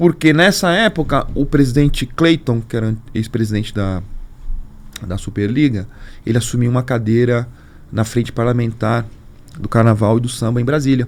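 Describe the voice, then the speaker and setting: A man's medium-pitched voice in a São Paulo accent, at a moderate pace, with ordinary pitch variation and long, frequent pauses. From São Paulo, Brazil. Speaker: carnival league executive. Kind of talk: podcast interview. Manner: animated storytelling.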